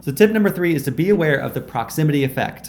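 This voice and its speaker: A man speaks with a fairly high pitch and lively intonation over light background noise. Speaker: YouTube creator. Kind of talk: tutorial. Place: kitchen. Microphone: lapel.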